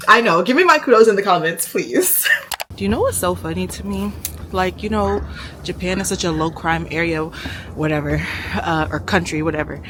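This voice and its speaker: A woman's animated tone, broken by long, frequent pauses, over noticeable background noise. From Nigerian heritage. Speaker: travel vlogger. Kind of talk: casual vlog talk to camera. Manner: loud, carrying voice; animated, chatty.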